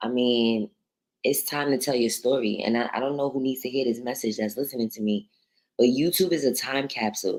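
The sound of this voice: A woman speaks at a fairly quick pace in an extremely low voice with a slightly mellow tone and ordinary pitch variation.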